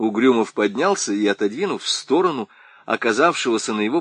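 A voice reads from a text. It sounds natural.

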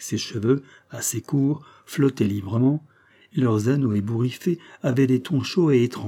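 The clip is plain reading aloud. Pitch variation is ordinary.

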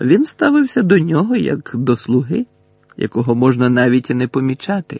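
Quiet and dry, with a close sound and no echo, a man puts on a character voice at medium pitch, moderate in pace, with big pitch swings, vocal fry, a slightly husky edge and a slightly mellow tone.

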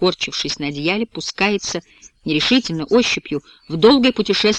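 Someone reads aloud in a natural voice with lively intonation.

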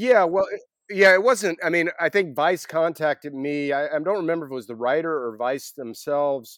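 With an American accent, a man talks at a moderate pace in an unremarkable speaking voice, fairly high in pitch and lively in intonation. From US South, Atlanta, Georgia. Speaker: author and photographer. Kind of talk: interview.

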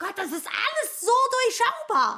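A woman bellows in a put-on character voice, extremely high in pitch. Her tone is bright and sharp, with very wide pitch swings. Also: moderate pace.

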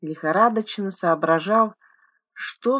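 The words are read aloud plainly. Little sound comes from the background.

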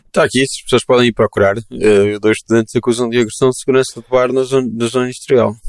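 A man talks very fast at a medium pitch, with hardly any pauses and very even loudness. His intonation is monotone and flat, and the sound is dry and close with no echo. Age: 30s. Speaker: podcast host. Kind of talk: casual chat. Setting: video call.

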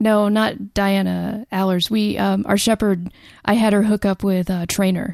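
A woman's medium-pitched, monotone voice with flat intonation, a fairly slow pace and very even loudness, in a dry, close sound with no echo and a very clean recording against a silent background. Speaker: podcast co-host. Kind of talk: casual chat.

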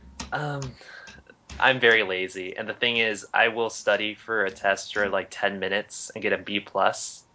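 In a normal speaking voice, a man talks at a fairly low pitch with fairly even intonation. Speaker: co-host. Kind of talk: casual banter podcast.

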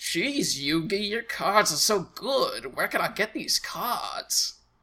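At a fairly slow pace, the speaker puts on a character voice with a fairly high pitch.

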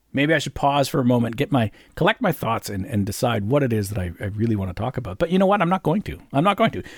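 With a Canadian accent, a somewhat breathy man of medium pitch speaks very fast with very wide pitch swings, in dry, close sound with no echo on a very clean recording with a silent background. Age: 50s. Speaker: podcaster. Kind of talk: solo casual monologue. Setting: home recording. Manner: rambling, hesitant with fillers.

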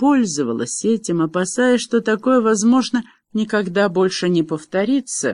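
Against a quiet background, someone is doing plain reading aloud.

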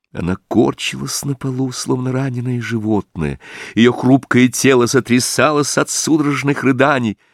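Just plain reading aloud

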